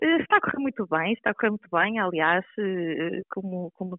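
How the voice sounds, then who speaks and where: A woman talks at a medium pitch and a fairly quick pace. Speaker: local councillor for environment. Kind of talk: interview. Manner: halting.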